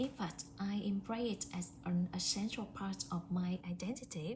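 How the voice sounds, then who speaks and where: The speaker has a Vietnamese accent and talks at a fairly slow pace. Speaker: English language student. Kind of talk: prepared speaking assignment. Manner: hesitant with fillers.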